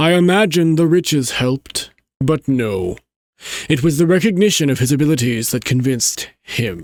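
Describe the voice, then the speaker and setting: A man uses a put-on character voice at a fairly high pitch and a moderate pace. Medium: virtual streamer. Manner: arrogant, dismissive.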